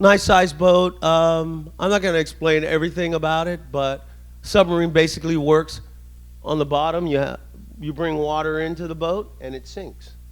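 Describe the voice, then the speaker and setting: Loud, fairly high-pitched male speech at a moderate pace, monotone and flat, on a very clean recording with a silent background. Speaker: navy veteran and club speaker. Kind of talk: presentation. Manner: casual.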